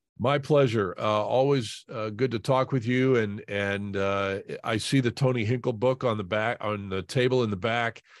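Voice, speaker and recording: An unremarkable speaking voice: a man at medium pitch with an American accent, fairly even intonation, a moderate pace and hardly any pauses. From Indianapolis, Indiana. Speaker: sports broadcaster. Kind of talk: casual interview.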